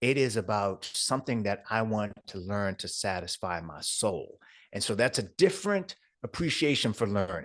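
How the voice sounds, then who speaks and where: A man's unremarkable speaking voice, fairly low in pitch, with ordinary pitch variation, a moderate pace and a quiet background. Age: 60s. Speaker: entrepreneur and speaker. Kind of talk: interview.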